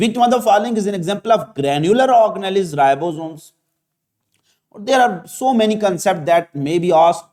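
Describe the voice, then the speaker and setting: Here a man speaks with a high pitch. His pace is fairly quick and his intonation lively. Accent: Pakistani. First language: Urdu. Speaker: biology teacher. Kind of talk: lecture. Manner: halting, many fillers.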